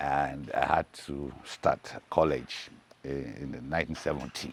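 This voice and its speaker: There is vocal fry in this man's voice as he speaks at a fairly slow pace. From Nigeria, Lagos. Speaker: musician. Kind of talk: interview storytelling. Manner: halting.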